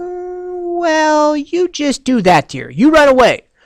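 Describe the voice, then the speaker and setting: A put-on character voice speaks in a high pitch at a fairly slow pace. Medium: read story. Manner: fretful, doting.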